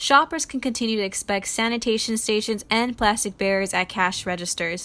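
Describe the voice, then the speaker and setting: A woman talks at a fairly quick pace in a fairly high pitch, her tone bright and sharp, with ordinary pitch variation. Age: 20s. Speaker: student journalist. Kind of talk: news report. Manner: formal.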